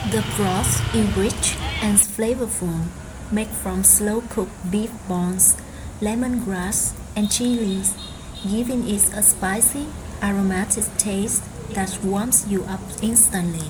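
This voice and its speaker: Very slow speech from a woman in a Vietnamese accent, medium in pitch, with fairly even intonation and very even loudness, plus noticeable background noise and audible room echo. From Vietnam, Hue. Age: 20s. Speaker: vlogger. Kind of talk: casual vlog narration.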